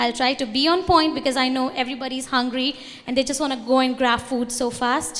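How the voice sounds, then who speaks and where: A woman's high voice in an Indian accent at a fairly quick pace, with audible room echo and noticeable background noise. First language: Hindi. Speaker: student organization representative. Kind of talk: conference talk.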